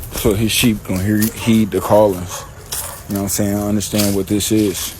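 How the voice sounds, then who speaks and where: A man talks at a moderate pace with a fairly low pitch and monotone, flat intonation. Noticeable background noise runs beneath him. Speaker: religious teacher. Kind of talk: scripture teaching. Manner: mumbling; casual, halting.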